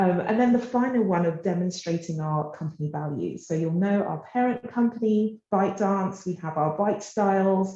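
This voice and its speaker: A woman speaks at medium pitch and a moderate pace, with ordinary pitch variation and hardly any pauses. She has a plain, everyday voice. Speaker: tech company partnerships manager. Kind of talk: presentation. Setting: office.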